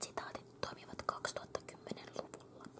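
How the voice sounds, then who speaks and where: A fairly slow whisper over noticeable background noise. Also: woman. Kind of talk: ASMR magazine reading. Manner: whispered.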